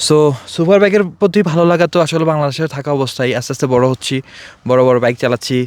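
This man has an unremarkable speaking voice with a fairly high pitch and ordinary pitch variation, recorded with a dry, close sound and no echo. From Bangladesh, Feni district. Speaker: motorbike enthusiast, expatriate worker. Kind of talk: interview. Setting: outdoors in desert hills.

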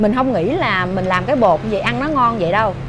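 A woman at a fairly slow pace with very wide pitch swings, over light background noise. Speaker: food vlogger. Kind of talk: casual vlog chat. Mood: cheerful, amused. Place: home room. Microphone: phone near.

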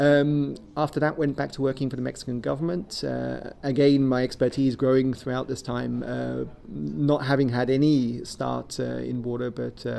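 A man with a southern English accent at a moderate pace. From Kent, southeast England. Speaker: water resources specialist. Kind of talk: interview. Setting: conference event. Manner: hesitant, many fillers. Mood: calm, reflective. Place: office. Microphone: webcam.

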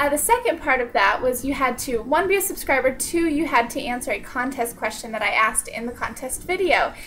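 Over light background noise, a woman talks fairly quickly in a raised, projected voice with lively intonation. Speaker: channel host. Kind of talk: casual vlog chat. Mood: cheerful, upbeat. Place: home room. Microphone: webcam.

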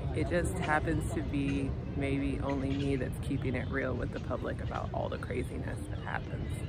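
Quietly and at a moderate pace, a woman with an American accent talks with hardly any pauses, her voice dry with no echo as crowd noise carries in the background. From United States. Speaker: life coach and vlogger. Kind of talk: casual vlog monologue. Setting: outdoors in a park. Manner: quiet, subdued speaking. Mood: frank, somewhat weary storytelling. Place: street. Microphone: phone near.

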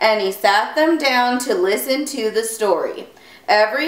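This is a natural reading voice. It is delivered as a natural reading voice.

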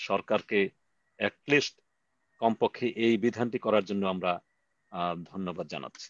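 Against a quiet background, a man's fairly low voice comes through dry with no echo. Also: ordinary pitch variation. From Bangladesh. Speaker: meeting moderator. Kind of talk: online protest meeting moderation. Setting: video call. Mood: earnest, measured. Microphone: video call.

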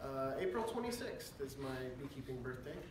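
A man speaks at a medium pitch and a fairly quick pace, his pitch swinging widely. Room echo is audible, and background noise comes through clearly.

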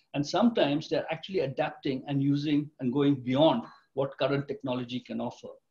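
A man speaks at a fairly quick pace with a fairly high pitch. His voice is somewhat breathy over a quiet background. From India. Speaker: retired tech executive, company director. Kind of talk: interview. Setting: video call. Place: home room. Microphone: video call.

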